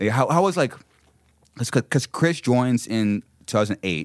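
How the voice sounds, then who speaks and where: The recording is very clean and the background silent. In it, a man talks at a moderate pace. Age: 30s. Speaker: podcast host, musician. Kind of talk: casual chat. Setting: studio, in person. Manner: halting, many repetitions.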